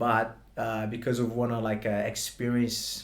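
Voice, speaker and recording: In a Brazilian accent, a man speaks at a medium pitch with monotone, flat intonation, amid noticeable background noise and audible room echo. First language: Portuguese. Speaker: martial arts instructor. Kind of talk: interview. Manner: halting.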